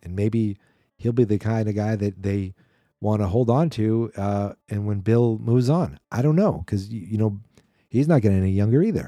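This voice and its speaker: A man's dark, mellow voice, fairly low in pitch, at a moderate pace with ordinary pitch variation, on a very clean recording with a silent background. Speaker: sports podcast host. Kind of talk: casual solo commentary. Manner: halting, with fillers. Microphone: new microphone.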